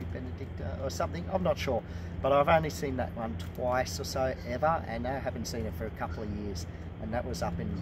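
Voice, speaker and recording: A man speaks at a very fast pace. Noticeable background noise runs underneath. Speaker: presenter. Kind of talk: casual educational walk-and-talk. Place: forest. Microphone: camera far.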